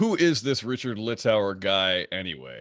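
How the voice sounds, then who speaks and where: The voice has vocal fry and very wide pitch swings. The sound is dry and close with no echo, on a very clean recording with a silent background. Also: man. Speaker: keynote speaker, open source consultant. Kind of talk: conference keynote talk.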